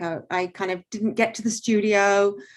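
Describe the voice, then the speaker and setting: Over a quiet background, a woman with an English accent speaks at a medium pitch with ordinary pitch variation. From England. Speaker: artist and art teacher. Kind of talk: artist talk interview.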